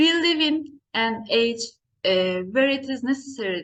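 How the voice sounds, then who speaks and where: A woman talks at a fairly slow pace. Her pitch is high, with ordinary pitch variation. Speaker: nursing lecturer. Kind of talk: conference presentation. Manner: halting, frequent uh fillers.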